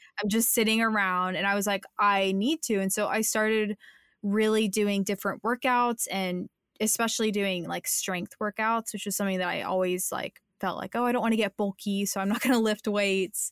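A woman talks at medium pitch and a moderate pace with fairly even intonation in an unremarkable speaking voice. The recording is very clean with a silent background and a dry, close sound with no echo. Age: 20s. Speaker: content creator and podcaster. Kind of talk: casual interview chat.

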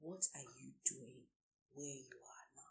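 A somewhat breathy woman's voice. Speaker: career coach and lawyer. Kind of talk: solo podcast talk. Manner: formal.

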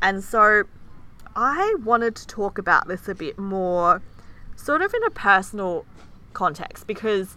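In an Australian accent, a woman with a bright, sharp tone at medium pitch speaks fairly slowly with long, frequent pauses, big swings in loudness and ordinary pitch variation. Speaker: podcast co-host. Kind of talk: casual chat.

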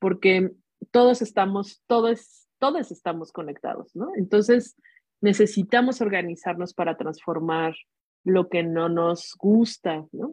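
Ordinary pitch variation marks this speech, delivered at a fairly slow pace. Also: woman. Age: 40s. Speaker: feminist activist and nonprofit adviser. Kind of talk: casual chat.

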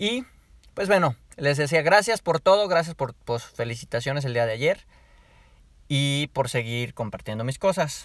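A man speaks at a fairly slow pace with a Mexican accent, his pitch fairly high and his intonation lively. His tone is animated, and the recording is very clean with a silent background. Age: 20s. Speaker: podcaster. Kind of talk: casual monologue.

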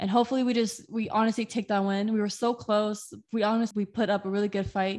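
With an American accent, a woman speaks very fast in a fairly high pitch with hardly any pauses. Her tone is enthusiastic and her loudness very even. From Southern California, Inland Empire (Moreno Valley). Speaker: student sports reporter and podcast co-host. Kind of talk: casual chat.

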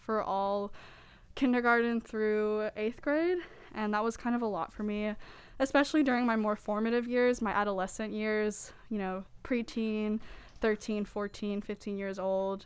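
A shaky woman with an American accent speaks fairly slowly in a fairly high pitch with a nervous tone and fairly even intonation, in a very clean recording with a silent background. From US South, Mexican American family. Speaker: poet at open mic. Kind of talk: spoken-word poetry reading at open mic. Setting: bookstore open mic with audience. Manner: shaky, nervous voice.

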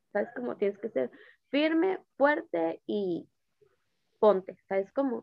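Her pitch is fairly high and swings very widely. This woman speaks very slowly, with long, frequent pauses. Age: 20s. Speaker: podcast guest. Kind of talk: casual chat.

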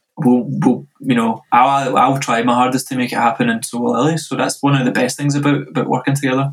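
With a west of Scotland accent, a man speaks very fast at a medium pitch, his intonation fairly even. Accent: west of Scotland Scottish. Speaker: DJ and music producer. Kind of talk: casual interview.

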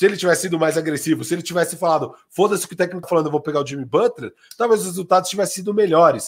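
The speech moves at a very fast pace, and its pitch varies in an ordinary way. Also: man, high pitch for a man, hardly any pauses. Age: 30s. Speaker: basketball podcast co-host. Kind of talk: casual sports talk.

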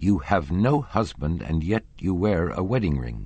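A man puts on a character voice, low in pitch with a slightly mellow tone. He speaks at a fairly slow pace with big pitch swings.

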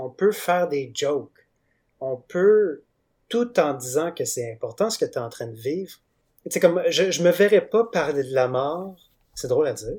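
In a Quebec accent, a man speaks fairly slowly in a high voice, with lively intonation and big swings in loudness. He leaves long, frequent pauses. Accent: Québécois French. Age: 20s. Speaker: comic book artist. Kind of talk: interview. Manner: halting.

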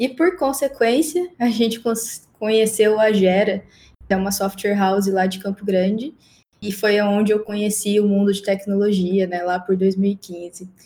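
Her voice is somewhat breathy, with a dark, mellow tone and medium pitch. The woman talks at a fairly slow pace with ordinary pitch variation. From Mato Grosso do Sul, Brazil. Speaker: agile specialist, production engineer. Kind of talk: casual interview conversation.

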